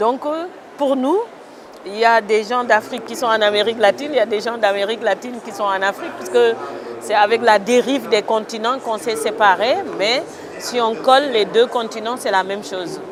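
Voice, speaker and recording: A woman talks at a fairly high pitch with ordinary pitch variation. Crowd noise and audible room echo fill the background. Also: moderate pace. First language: a Senegalese mother tongue (speaking French). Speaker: writer. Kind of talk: interview. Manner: hesitant.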